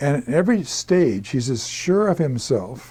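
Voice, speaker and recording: On a very clean recording with a silent background, a man speaks in a dark, mellow tone with lively intonation. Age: 70s. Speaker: historian. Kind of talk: interview. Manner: halting.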